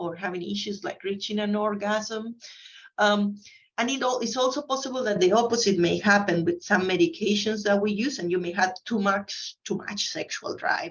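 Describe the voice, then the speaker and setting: A woman's somewhat breathy, medium-pitched voice with ordinary pitch variation. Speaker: neurologist. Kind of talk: conference presentation. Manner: fast.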